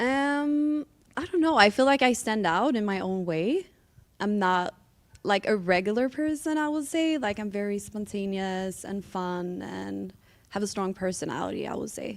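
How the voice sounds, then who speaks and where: With a Swedish accent and lively intonation, a woman talks at a medium pitch and a moderate pace on a very clean recording over a silent background. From Sweden. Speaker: dating show contestant. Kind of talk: casual chat.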